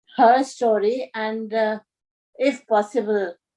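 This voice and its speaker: A woman with an Indian accent speaks at a very slow pace in a dark, mellow tone and a fairly high pitch. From India, Dehradun. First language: Hindi. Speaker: spiritual storyteller. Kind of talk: personal storytelling. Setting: video call. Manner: halting.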